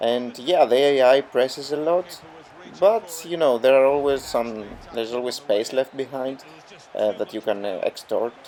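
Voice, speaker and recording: With a non-native accent, a man at a medium pitch talks at a moderate pace with ordinary pitch variation over noticeable background noise. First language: not English. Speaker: gaming youtuber. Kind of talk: gameplay commentary tutorial. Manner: hesitant, many fillers.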